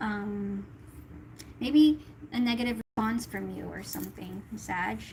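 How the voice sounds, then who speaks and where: A woman talks fairly slowly while noticeable background noise plays. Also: big swings in loudness. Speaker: tarot reader. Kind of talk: tarot reading livestream.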